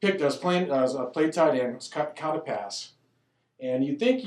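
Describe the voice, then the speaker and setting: At a moderate pace, a man speaks in an unremarkable speaking voice with a fairly high pitch. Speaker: elementary school principal. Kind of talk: casual interview chat.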